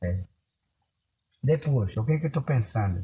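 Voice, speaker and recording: His pitch swings very widely. The man's voice has a dark, mellow tone and is somewhat breathy. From Upper Rio Negro region, Amazonas, Brazil. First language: Baniwa (speaking Portuguese). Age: 70s. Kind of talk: oral storytelling to grandson. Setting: in a maloca around a fire at night.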